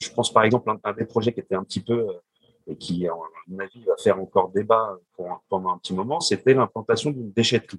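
A man speaks at a very fast pace in a medium pitch, with ordinary pitch variation, big swings in loudness, and a dry, close sound with no echo. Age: 40s. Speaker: civil servant. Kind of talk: panel discussion.

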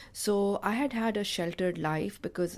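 A woman with an American accent and ordinary pitch variation, on a very clean recording over a silent background. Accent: Pakistani English, US-educated. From Pakistan. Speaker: nonprofit founder. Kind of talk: interview.

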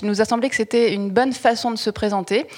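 This woman has an ordinary speaking voice and a fairly high pitch. She talks at a fairly quick pace. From Toulouse. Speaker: journalist, podcast host. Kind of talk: interview.

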